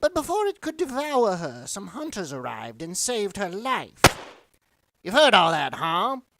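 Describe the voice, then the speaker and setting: A put-on character voice, fairly high in pitch, at a moderate pace, with sound effects in the background. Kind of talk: horror comic dramatization.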